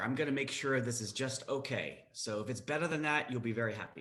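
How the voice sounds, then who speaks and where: A man's medium-pitched voice, bright and sharp in tone and animated, with ordinary pitch variation and audible room echo. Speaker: startup founder and CEO. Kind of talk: online presentation.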